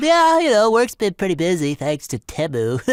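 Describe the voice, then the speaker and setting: A put-on character voice at a middle pitch moves at a moderate pace on a very clean recording with a silent background. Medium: comedy sketch. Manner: rambling, chuckling.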